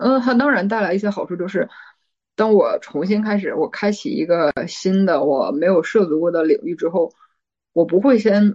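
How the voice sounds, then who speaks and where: This woman has an ordinary speaking voice at medium pitch, with lively intonation. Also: moderate pace. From Northeast China. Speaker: PhD student. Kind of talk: casual chat.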